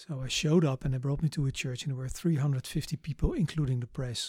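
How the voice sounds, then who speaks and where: A man speaks with a Dutch accent at a medium pitch. His voice is somewhat breathy, with ordinary pitch variation. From Netherlands, The Hague. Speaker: missionary. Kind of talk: interview testimony.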